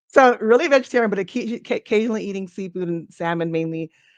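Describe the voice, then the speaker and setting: A woman with an American accent speaks fairly quickly with ordinary pitch variation in an unremarkable speaking voice. The sound is dry and close with no echo, and the background is quiet. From US West Coast, Inglewood, Los Angeles. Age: 40s. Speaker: family physician. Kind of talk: interview. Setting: podcast.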